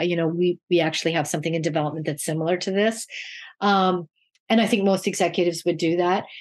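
The pace is very fast and the intonation monotone and flat. The background is quiet. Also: woman. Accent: Canadian. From Canada. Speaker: children's TV producer. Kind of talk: interview. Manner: halting, many fillers.

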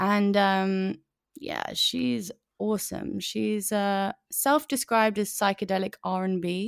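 A woman with a London accent at a very slow pace, with ordinary pitch variation, in a dry, close sound with no echo and a very clean recording against a silent background. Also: medium pitch for a woman. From North London. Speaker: singer-songwriter. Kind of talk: casual interview chat.

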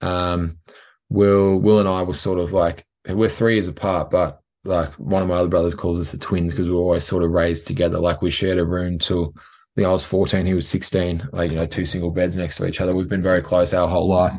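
With an Australian accent, a man speaks fairly quickly in a very deep, low voice. His intonation is fairly even, and the background is quiet. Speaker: professional rugby player. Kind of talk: interview. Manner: hesitant, many fillers.

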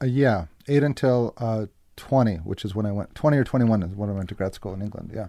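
With an American accent, a man at a fairly low pitch races along at a very fast pace, his dark, mellow tone showing ordinary pitch variation. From Massachusetts. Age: 30s. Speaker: actor and filmmaker. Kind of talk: casual chat.

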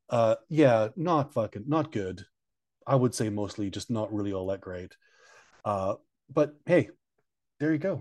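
A man with a Canadian accent, medium pitch and lively intonation, at a fairly slow pace with long, frequent pauses, over a quiet background. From Canada. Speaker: podcast co-host. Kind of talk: casual chat. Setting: hotel room.

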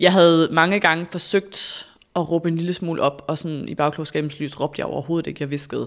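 On a very clean recording with a silent background, a woman talks fairly quickly in a fairly low pitch with monotone, flat intonation. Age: 30s. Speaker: former radio host, influencer. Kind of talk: interview, personal story.

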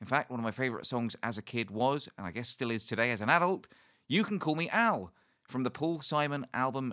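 An enthusiastic speaker with a British accent talks at a fairly quick pace. The tone is bright and sharp, and the intonation is lively. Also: man. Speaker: podcast host and ukulele teacher. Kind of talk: casual interview.

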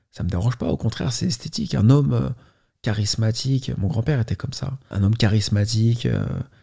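His tone is dark and mellow, and somewhat breathy. The man's intonation is lively. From Paris, France. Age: 30s. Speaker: YouTuber. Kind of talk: testimony. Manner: halting.

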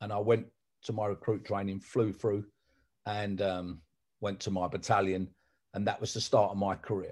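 A man with a London accent speaks in a monotone, flat intonation with long, frequent pauses. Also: fairly low pitch for a man, moderate pace. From South London. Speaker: sports announcer. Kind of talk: casual chat.

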